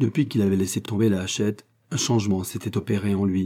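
The reading is done aloud in a natural voice.

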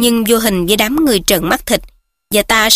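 Here is a natural reading voice with ordinary pitch variation over a quiet background.

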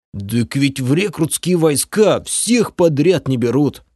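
Using a put-on character voice, a man speaks fairly slowly at a fairly high pitch with lively intonation. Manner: growling angrily.

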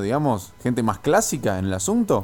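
A man's medium-pitched voice, slightly mellow in tone, at a moderate pace with big pitch swings

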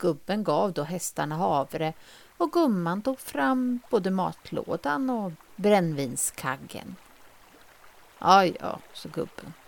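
A woman speaks very slowly in a fairly low voice, her pitch swinging very widely. The recording is very clean, with a silent background. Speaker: fairy tale narrator. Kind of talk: fairy tale storytelling.

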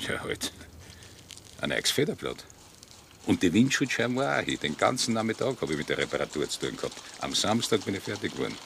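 A man's put-on character voice, low-pitched with vocal fry and big pitch swings, fairly quick but broken by long, frequent pauses. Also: fairly bright tone.

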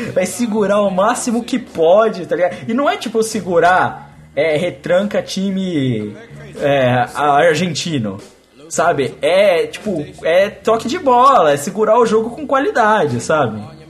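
Over music in the background, a high-pitched man talks at a fairly slow pace, his pitch swinging very widely. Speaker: football podcast host. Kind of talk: casual chat.

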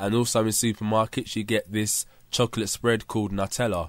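A man with a London accent talks at a fairly quick pace in a fairly low voice. The recording is very clean and dry, with a close sound, no echo and a silent background. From London, England. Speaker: podcaster. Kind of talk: casual monologue. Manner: chatty.

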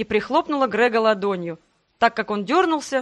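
Natural-voiced reading aloud, nothing much behind it

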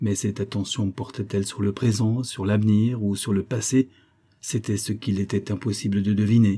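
The text is being read aloud. A natural voice carries it.

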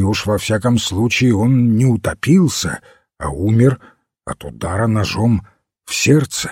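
A man's put-on character voice, fairly low in pitch with a slightly mellow tone and a slightly husky edge, lively intonation and a fairly slow pace, on a very clean recording with a silent background.

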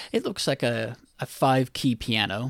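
Recorded very cleanly against a silent background, a man with an American accent talks at a medium pitch with vocal fry. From United States. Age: 40s. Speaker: IT worker and tech history writer. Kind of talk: presentation of a written article in a podcast. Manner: halting.

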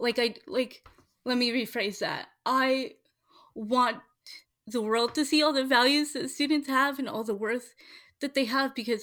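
With a bright, sharp tone, a woman talks at a moderate pace in a high voice with ordinary pitch variation. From Washington State. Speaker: school board candidate. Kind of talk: interview.

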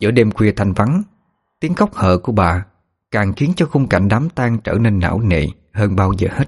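An unforced reading voice carries lively intonation. The background is quiet.

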